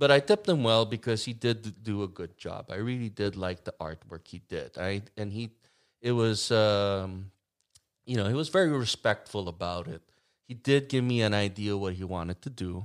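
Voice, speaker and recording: A man uses a normal speaking voice at fairly low pitch and a moderate pace, with ordinary pitch variation. Loudness swings widely across a very clean recording with a silent background. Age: 60s. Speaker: bass player and songwriter. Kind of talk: casual chat.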